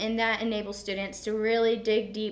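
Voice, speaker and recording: A woman with a Southern US accent speaks at medium pitch and a fairly quick pace, with audible room echo. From US South, Georgia (Atlanta area). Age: 20s. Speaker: student vlogger. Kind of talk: informal presentation. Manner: casual, with frequent fillers.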